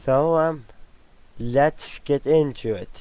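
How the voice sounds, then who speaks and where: A man's dark, mellow tone with fairly even intonation. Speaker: Star Wars commentator. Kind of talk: trailer reaction, casual talk to camera. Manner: rambling, thinking aloud.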